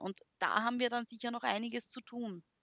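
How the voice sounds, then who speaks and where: In an Austrian accent, a woman speaks at a moderate pace. Her pitch is fairly high. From Austria, Graz. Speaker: university lecturer and education blogger. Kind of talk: interview.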